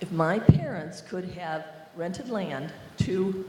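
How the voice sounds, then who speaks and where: There is noticeable background noise and audible room echo as a woman with a US Midwestern accent talks at a fairly low pitch. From Iowa. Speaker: workshop moderator. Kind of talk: audience Q&A question.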